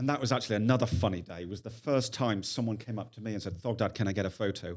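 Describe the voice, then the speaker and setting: Speaking at a very fast pace with a Lancashire accent, a man uses a fairly low pitch and ordinary pitch variation. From northern England, Lancaster. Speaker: former finance executive and YouTuber. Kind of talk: casual chat.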